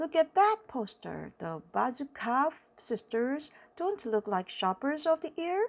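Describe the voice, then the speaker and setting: Using a put-on character voice, a woman speaks high and fairly slowly. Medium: read story. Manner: wary, skeptical.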